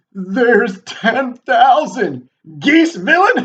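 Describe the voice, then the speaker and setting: A man uses a put-on character voice at an extremely high pitch. He speaks at a very slow pace with very wide pitch swings. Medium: read story. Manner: nervous.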